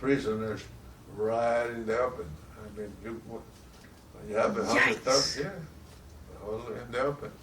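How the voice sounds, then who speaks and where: Over noticeable background noise, a man talks at a fairly slow pace with medium pitch and ordinary pitch variation. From Puerto Rico. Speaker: war veteran. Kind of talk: interview answer.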